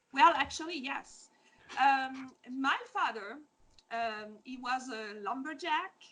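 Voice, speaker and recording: Very slowly, a woman speaks in a raised, projected voice with a high pitch, a bright, sharp tone, ordinary pitch variation and big swings in loudness. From Quebec, Beauce region. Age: 40s. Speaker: food truck owner. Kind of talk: interview. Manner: hesitant, many fillers.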